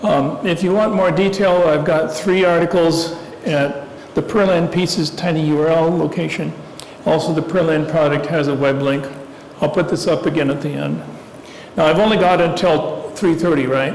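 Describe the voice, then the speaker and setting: A man speaks at a moderate pace with a fairly high pitch, fairly even intonation, and very even loudness. Audible room echo and noticeable background noise fill the recording. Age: 70s. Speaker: guest speaker on aviation. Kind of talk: talk to a club audience. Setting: meeting room with live audience.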